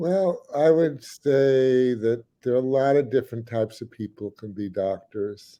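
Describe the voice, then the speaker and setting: A man of medium pitch speaks at a fairly slow pace with hardly any pauses, a dark, mellow tone, ordinary pitch variation and big swings in loudness. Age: 60s. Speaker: doctor. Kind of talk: panel discussion.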